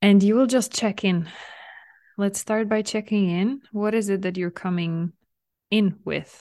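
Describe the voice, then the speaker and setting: A soothing, dark, mellow tone with fairly even intonation and long, frequent pauses. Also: woman, medium pitch for a woman, fairly slow pace, quiet background. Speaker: mental fitness coach and podcast host. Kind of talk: guided visualization meditation, gently leading listener inward. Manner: soft, soothing, slow invitations with frequent light laughs; warm, nurturing, reassuring tone toward listener.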